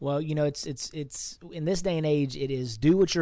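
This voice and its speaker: A man with an unremarkable speaking voice, fairly high in pitch, with fairly even intonation at a moderate pace. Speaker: podcast host. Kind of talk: interview.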